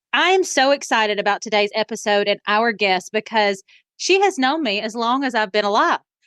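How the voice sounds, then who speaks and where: A woman speaks in a Southern US accent with a bright, sharp tone. The sound is dry and close with no echo, over a quiet background. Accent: Southern twang. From US South, rural Alabama. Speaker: podcast host. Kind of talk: casual interview chat.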